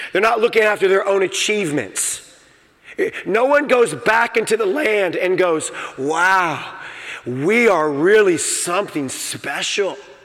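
Over noticeable background noise, a man talks in a high pitch. His intonation is lively. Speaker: pastor. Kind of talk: sermon. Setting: church. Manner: informal, conversational preacher.

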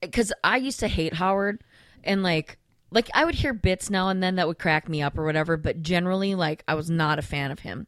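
A woman with a plain, everyday voice, fairly low in pitch, with ordinary pitch variation, at a fairly quick pace, in a dry, close recording with no echo. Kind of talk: casual chat. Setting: studio.

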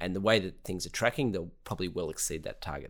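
On a very clean recording with a silent background, a man with an Australian accent speaks at a very deep, low pitch with ordinary pitch variation. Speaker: clean energy company co-founder. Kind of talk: interview.

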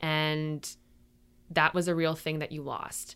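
At a fairly slow pace, a woman with a fairly low pitch speaks in a plain, everyday voice on a very clean recording with a silent background. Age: 30s. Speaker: YouTuber and photographer. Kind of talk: casual interview about grief. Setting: makeshift studio.

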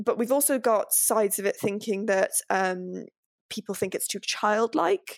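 This woman has a normal speaking voice, fairly high in pitch with ordinary pitch variation, speaking at a fairly slow pace in a dry, close recording with no echo. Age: 20s. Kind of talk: casual chat.

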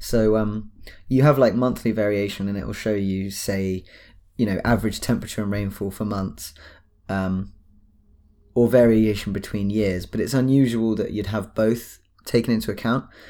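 The speaker is a man with a British accent. He talks at a moderate pace. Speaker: podcast co-host. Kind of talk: casual chat.

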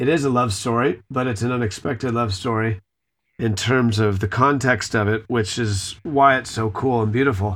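On a very clean recording with a silent background, a man with an ordinary speaking voice and a medium pitch talks at a moderate pace. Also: fairly even intonation. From California.

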